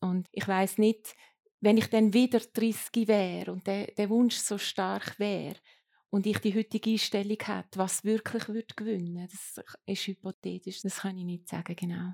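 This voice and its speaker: Recorded dry and close with no echo, the clip is very clean with a silent background. A woman speaks at medium pitch, fairly slowly, in a flat monotone. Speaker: copywriter and lecturer. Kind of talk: panel discussion.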